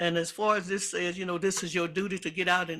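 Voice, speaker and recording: Raised and projected, a man's bright, sharp voice moves at a moderate pace on a very clean recording with a silent background. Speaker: public commenter at county meeting. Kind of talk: public comment. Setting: public meeting chamber.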